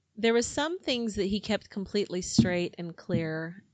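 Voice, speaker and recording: A woman with an American accent and an ordinary speaking voice, at a fairly slow pace with ordinary pitch variation. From United States. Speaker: book club host. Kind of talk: casual chat. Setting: studio.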